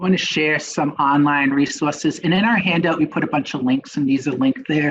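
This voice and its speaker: At a moderate pace, a man with a Boston accent talks in a fairly high voice. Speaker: nurse educator, webinar presenter. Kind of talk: webinar presentation. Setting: online webinar. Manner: casual, hesitant with many fillers.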